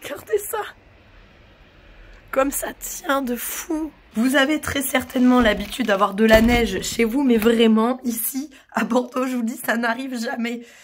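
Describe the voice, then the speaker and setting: Speaking at a fairly slow pace with long, frequent pauses, a woman uses a high pitch over noticeable background noise. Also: ordinary pitch variation. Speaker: horse-owner vlogger. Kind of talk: casual vlog. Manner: animated.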